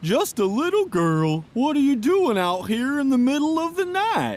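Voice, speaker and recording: A man uses a put-on character voice at an extremely high pitch. It swings very widely in pitch and moves at a moderate pace. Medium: video game.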